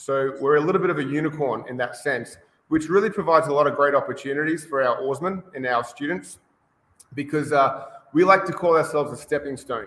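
With an Australian accent, this man speaks at a fairly quick pace and a fairly high pitch, his pitch variation ordinary. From Australia, Brisbane. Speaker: rowing coach. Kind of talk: interview. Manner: many filler words, hesitant.

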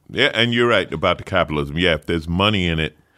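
A loud man with a very deep, low pitch and lively intonation is captured in a very clean recording with a silent background. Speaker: podcast host; comedian. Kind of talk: casual chat.

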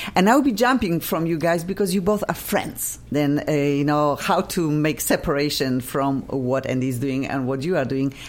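A woman with a very deep, low pitch speaks at a moderate pace with lively intonation and hardly any pauses. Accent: Polish. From Poland. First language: Polish. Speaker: radio host. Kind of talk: casual chat. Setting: studio. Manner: animated.

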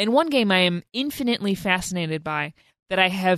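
Recorded dry and close with no echo against a quiet background, a woman with an ordinary speaking voice talks at a medium pitch with lively intonation. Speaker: podcast co-host. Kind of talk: casual banter about games.

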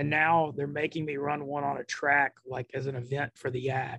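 A man's fairly high-pitched, unremarkable speaking voice at a moderate pace, with a dry, close sound and no echo. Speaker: poker player. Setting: coffee shop, remote call.

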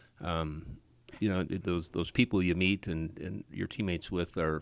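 In a Wisconsin accent, a man with a very deep, low pitch speaks at a moderate pace with fairly even intonation, on a very clean recording with a silent background. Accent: Upper Midwest (Wisconsin) American. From Wisconsin (Appleton). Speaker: circuit court judge. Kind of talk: radio interview.

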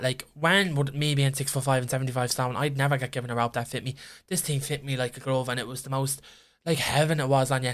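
A man with an Irish accent, fairly high in pitch, at a very fast pace, on a very clean recording with a silent background. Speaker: podcast co-host. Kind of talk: casual chat.

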